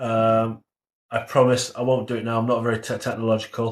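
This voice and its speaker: A man speaks at a medium pitch with an English accent. His intonation is flat and monotone, and his pace is moderate. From England. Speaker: livestreamer discussing conspiracy theories. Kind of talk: live stream chat reading comments. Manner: hesitant, many fillers.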